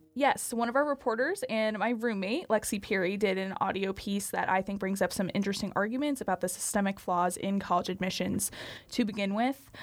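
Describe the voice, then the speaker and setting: A plain, everyday voice talks at a fairly quick pace. Pitch varies an ordinary amount. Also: woman, medium pitch for a woman. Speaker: student podcast co-host, assistant managing editor. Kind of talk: casual chat.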